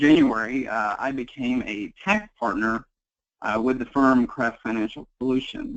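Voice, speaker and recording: The speaker has a Kentucky accent. The pace is fairly slow. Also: man. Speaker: tax accountant. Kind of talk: webinar presentation. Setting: webinar call.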